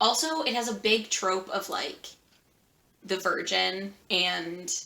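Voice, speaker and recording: The clip has an ordinary speaking voice with ordinary pitch variation. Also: woman. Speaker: booktuber. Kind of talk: casual vlog talk.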